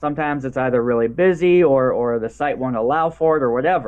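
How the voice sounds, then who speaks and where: Words pour from this man at a very fast pace. His pitch moves in an ordinary way. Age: 30s. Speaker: real-life superhero. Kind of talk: casual chat.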